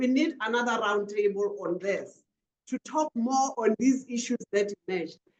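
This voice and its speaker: A woman's lively intonation in a Botswana accent at a moderate pace, dry and close with no echo. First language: Setswana. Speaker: panel moderator. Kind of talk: webinar panel moderation.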